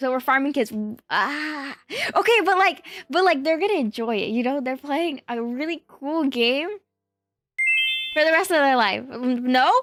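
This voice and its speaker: A woman's high-pitched, animated voice with lively intonation at a moderate pace, music in the background. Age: 20s. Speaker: streamer. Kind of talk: casual chat.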